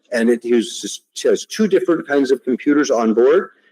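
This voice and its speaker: The sound is dry and close, without any echo. This man talks at a fairly slow pace. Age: 60s. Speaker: invited lecturer, technology researcher. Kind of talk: audience Q&A; lecture.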